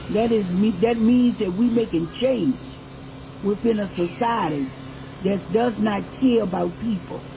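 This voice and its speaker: A woman with an American accent, her fairly high pitch and animated tone carried through audible room echo and noticeable background noise. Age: 80s+. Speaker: activist and reverend. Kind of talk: personal testimony to audience. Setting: birthday party with live audience. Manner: animated, emphatic.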